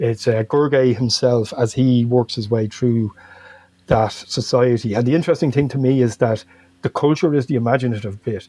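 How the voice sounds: A man with a Dublin accent, dark, mellow tone with a slightly husky edge, medium pitch, ordinary pitch variation and a moderate pace. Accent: Dublin Irish.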